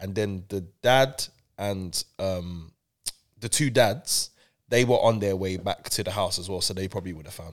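Very clean recording, silent background: a man with a London accent speaks at a moderate pace and a fairly low pitch, with ordinary pitch variation. His loudness swings widely, and he takes long, frequent pauses. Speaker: radio presenter and broadcaster. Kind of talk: casual chat. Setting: studio. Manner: animated.

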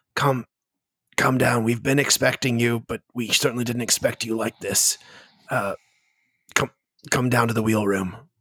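A man uses a raspy, put-on character voice at a medium pitch. His delivery is monotone and flat, at a moderate pace with long, frequent pauses. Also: dry, close sound with no echo. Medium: actual play. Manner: halting, hesitant, repetitive.

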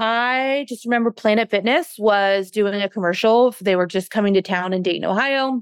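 Recorded very cleanly against a silent background, with a dry, close sound and no echo, a woman of medium pitch talks in an ordinary speaking voice with ordinary pitch variation. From US, Mexican-American family. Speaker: fitness trainer and coach. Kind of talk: interview conversation.

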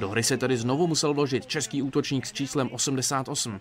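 Noticeable background noise fills the recording. A man speaks at a moderate pace. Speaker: sports reporter. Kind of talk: scripted narration.

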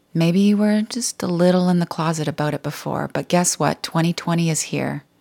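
With a normal speaking voice, a woman talks at a fairly low pitch and fairly slow pace, her intonation fairly even, the sound dry and close with no echo on a very clean recording with a silent background. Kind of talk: guided meditation. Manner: slow, soft-spoken, soothing and gently paced with calm pauses.

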